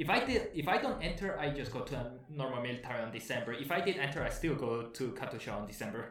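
Clear background noise accompanies a man whose fairly high voice races along very fast with lively, varied intonation. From Guatemala. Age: 20s. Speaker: aerospace engineering graduate. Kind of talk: casual interview.

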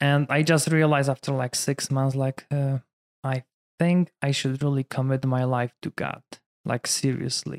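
A man with a Polish accent and a fairly high pitch, monotone, flat intonation at a moderate pace, in a dry, close sound with no echo. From Poland. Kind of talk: casual interview chat.

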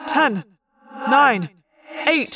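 In a put-on character voice, a woman speaks very slowly at a high pitch, her tone bright and sharp with a slightly husky edge and lively intonation.

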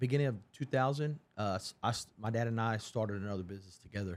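This man has a plain, everyday voice at a medium pitch. He moves at a moderate pace with ordinary pitch variation. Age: 40s. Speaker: pest control business owner. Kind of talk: interview.

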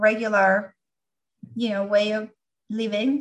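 A woman with a medium-pitched voice and a bright, sharp tone speaks in a flat monotone. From Venezuela. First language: Spanish. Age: 40s. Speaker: doctoral candidate and Lyme disease patient. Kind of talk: interview.

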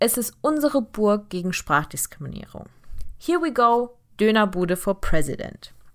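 Speaking at a very slow pace with very wide pitch swings, a woman is heard in a very clean recording with a silent background. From Germany, Heidelberg, partly raised in Turkey. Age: 20s. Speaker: podcast host, engineering student. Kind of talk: podcast introduction monologue.

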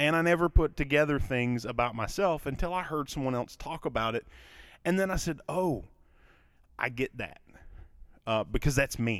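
A man with a Kentucky accent speaks with long, frequent pauses. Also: ordinary pitch variation, moderate pace, very clean recording, silent background. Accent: Kentucky Southern US. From Kentucky, US. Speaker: podcast host, mental health show, teacher. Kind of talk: solo monologue podcast. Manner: conversational, hesitant with fillers.

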